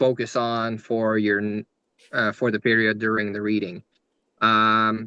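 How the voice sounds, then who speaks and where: A man speaks in a fairly low pitch with a Quebec accent and a bright, sharp tone. His intonation is monotone and flat, and the sound is dry and close with no echo. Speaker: rune reader, spiritual guest speaker. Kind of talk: podcast interview, explaining runes. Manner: halting, many fillers and restarts.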